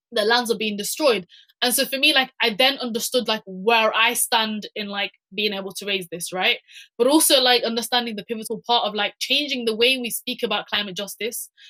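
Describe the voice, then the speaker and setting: A woman with a British accent speaks at a fairly quick pace, her pitch fairly high with ordinary variation. Her tone is bright and sharp, and the sound is dry and close with no echo. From UK, Somali heritage. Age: young. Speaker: climate activist. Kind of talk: panel discussion. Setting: webinar video call. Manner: halting, many fillers and repetitions.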